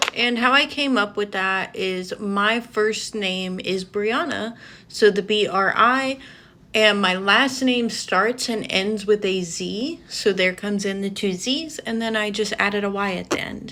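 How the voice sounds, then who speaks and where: A woman with an American accent speaks fairly slowly in a bright, sharp tone, at a medium pitch with ordinary pitch variation. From US South (Georgia). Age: 20s. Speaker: beauty vlogger. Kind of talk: casual get-ready-with-me vlog.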